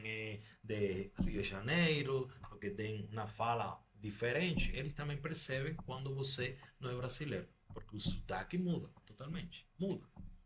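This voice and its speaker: In a Spanish accent, a man speaks at a medium pitch and a fairly slow pace with lively intonation. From Cuba. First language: Spanish (speaking Portuguese). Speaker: doctor. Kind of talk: podcast interview.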